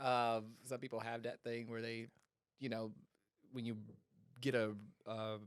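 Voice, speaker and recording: This is a man speaking. His pitch sits in the medium range. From North Carolina (Hickory, raised in Charlotte). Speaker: real estate agent. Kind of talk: casual podcast chat.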